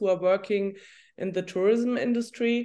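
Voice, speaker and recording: Her voice sits at a medium pitch for a woman, with ordinary pitch variation. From Germany. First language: German. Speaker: journalist and coach. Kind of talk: interview. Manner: halting.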